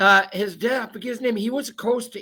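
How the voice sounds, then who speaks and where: With a Maine accent, a man talks at a moderate pace in a bright, sharp tone with fairly even intonation. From Maine, Downeast coast. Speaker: talk show host. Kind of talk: casual interview chat. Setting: video call.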